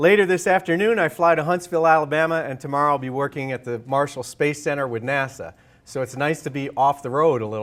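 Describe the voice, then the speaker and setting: Talking at a very fast pace, a man leaves hardly any pauses. His pitch is fairly high, his intonation lively, and he has an American accent. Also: big swings in loudness. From New York. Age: 40s. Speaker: author and leadership consultant. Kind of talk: lecture. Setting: stage with audience.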